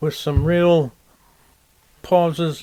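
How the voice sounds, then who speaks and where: This is a man with a fairly high-pitched voice. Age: 80s+. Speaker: retired professor and writer. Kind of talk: interview, reminiscing. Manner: halting, with fillers.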